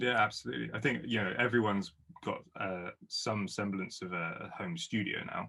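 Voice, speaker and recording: A man speaks in a southern English accent at a moderate pace. His fairly low voice carries lively intonation. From southern England. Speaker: guitarist and producer. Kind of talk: casual chat.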